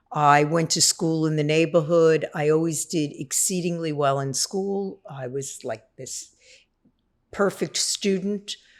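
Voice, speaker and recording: A woman speaks fairly slowly in a New York accent, her pitch very deep and low. The recording is very clean, with a silent background. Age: 60s. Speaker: person in long-term addiction recovery. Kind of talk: testimony.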